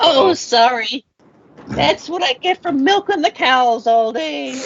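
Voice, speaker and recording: This is a put-on character voice that sounds female, with a high pitch. It moves at a fairly slow pace. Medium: actual play. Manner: gruff, blunt.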